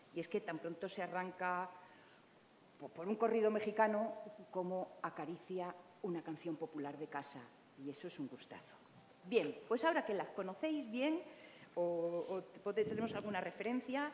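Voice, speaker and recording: Light background noise sits behind a woman who speaks at a moderate pace with lively intonation and long, frequent pauses. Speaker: moderator and journalist. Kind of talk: moderated panel discussion. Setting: live event with audience. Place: hall.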